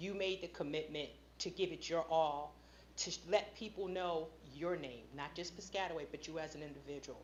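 Her pitch very deep and low, a woman speaks at a fairly quick pace with fairly even intonation. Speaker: school board member. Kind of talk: public meeting speech. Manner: loud.

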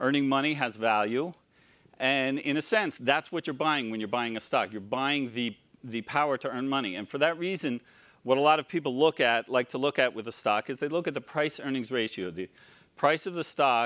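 A man talks fairly quickly with normal pitch movement over a quiet background. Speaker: conference speaker. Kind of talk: lecture. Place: hall.

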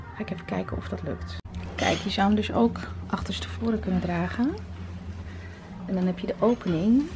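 A woman talks at a fairly quick pace. Noticeable background noise runs under her voice. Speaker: fashion vlogger. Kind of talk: casual vlog chat. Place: shop. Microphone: phone near.

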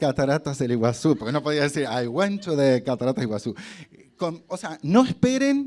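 With an animated tone and lively intonation, a man speaks at a moderate pace. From Argentina, Concordia (Entre Ríos); Entre Ríos, Argentina. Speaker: hotel marketing director and actor giving a motivational talk; actor giving a motivational talk. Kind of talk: motivational talk to students. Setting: stage with student audience. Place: hall. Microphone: handheld.

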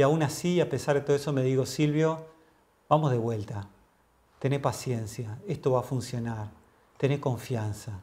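A somewhat breathy male voice at a moderate pace, with ordinary pitch variation and long, frequent pauses. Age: 50s. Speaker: mindfulness teacher; interview guest, mindfulness teacher. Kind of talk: interview. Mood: calm, earnest, reflective. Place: home room.

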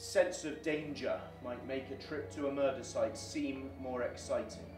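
A man speaking at a fairly slow pace over clear background music. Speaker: actor playing a police detective. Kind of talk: dramatic monologue addressing schoolchildren. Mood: grave, firm, reassuring. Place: studio.

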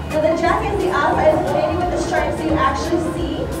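A woman at a very fast pace, with audible room echo and clear music in the background. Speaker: factory tour guide. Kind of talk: guided tour commentary. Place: factory. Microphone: camera far.

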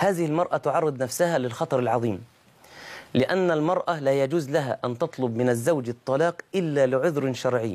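A man talks at a moderate pace, his pitch fairly high with ordinary variation. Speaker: Islamic preacher. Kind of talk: sermon.

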